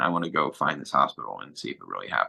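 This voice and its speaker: This man talks at a very fast pace in a Philadelphia accent. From Philadelphia, South Philly. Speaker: former neo-Nazi, author. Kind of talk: interview storytelling. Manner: animated; casual.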